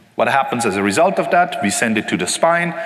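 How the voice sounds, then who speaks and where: A man at a fairly quick pace with very wide pitch swings, amid noticeable background noise and audible room echo. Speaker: conference technical presenter. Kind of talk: technical lecture. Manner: fast.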